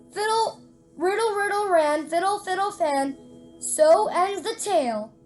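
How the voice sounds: The voice heard is a natural reading voice.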